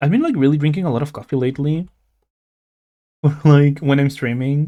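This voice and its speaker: A man mumbles at a fairly quick pace with fairly even intonation. His voice is fairly high in pitch, with a dark, mellow tone. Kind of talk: casual live-stream chat while drawing. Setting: live stream. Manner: mumbling; halting, stammering.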